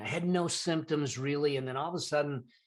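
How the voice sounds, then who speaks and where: Speaking at a fairly quick pace, a man with an ordinary speaking voice uses a fairly high pitch and lively intonation. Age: 60s. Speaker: entrepreneur and financial expert, podcast guest. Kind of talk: interview, personal testimony.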